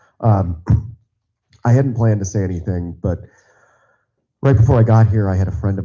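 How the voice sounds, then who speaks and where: A man's voice, dark and mellow in tone and somewhat breathy, carries ordinary pitch variation. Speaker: party committee member. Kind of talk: public meeting remarks. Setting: meeting auditorium.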